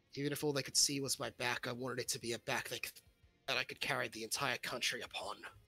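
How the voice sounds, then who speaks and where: At a very fast pace, a man puts on a raspy character voice at a medium pitch. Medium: actual play. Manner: earnest, solemn.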